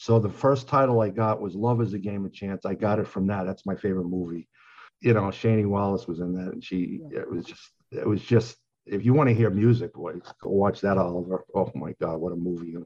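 An ordinary speaking voice with an American accent, ordinary pitch variation and a fairly quick pace. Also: man, fairly low pitch for a man. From Long Island, New York. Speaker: songwriter. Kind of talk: interview.

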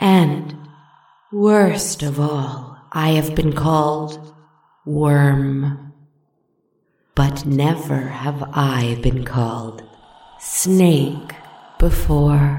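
A put-on character voice at low-to-middle pitch, calm in tone, very slow, with long, frequent pauses and a slight echo. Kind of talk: dark fairy-tale storytelling. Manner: purring, calm, mocking.

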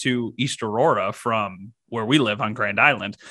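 With an American accent and a bright, sharp tone, a man speaks at a moderate pace. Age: 20s. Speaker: TV sports director. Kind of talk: casual sports podcast chat.

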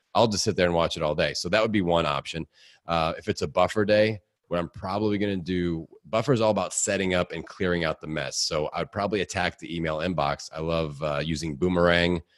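A man speaks in a very deep, low register with an energetic tone. The sound is dry and close, with no echo. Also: ordinary pitch variation, quiet background. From US Midwest, Indiana. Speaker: podcaster and fitness coach. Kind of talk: casual interview. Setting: home basement studio.

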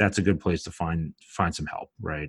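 In a very clean recording with a silent background, a man with a Brooklyn accent speaks at a moderate pace, his very deep, low pitch held in fairly even intonation. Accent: Brooklyn New York. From Brooklyn, New York. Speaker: dietitian and business owner. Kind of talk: casual interview chat.

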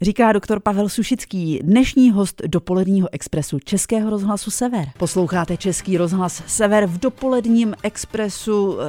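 With hardly any pauses and at a moderate pace, a woman speaks at medium pitch with ordinary pitch variation, in a dry, close sound with no echo, against noticeable background noise. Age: 50s. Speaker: radio host. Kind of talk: radio interview.

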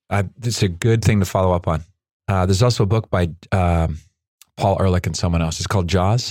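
Fairly quick and fairly even in intonation, a man speaks at a very deep, low pitch on a very clean recording with a silent background. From Canada, Nova Scotia. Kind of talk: casual interview.

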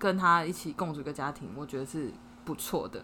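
A woman's bright, sharp voice with lively intonation. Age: 30s. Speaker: podcast co-host. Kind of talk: casual chat. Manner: animated, frequent laughter.

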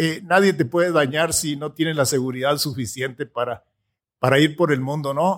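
A man with an ordinary speaking voice talks at a moderate pace, fairly high in pitch with ordinary pitch variation, on a very clean recording with a silent background. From Mexico, Sierra de Chihuahua. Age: 60s. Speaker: entrepreneur and motivational speaker. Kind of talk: interview testimony.

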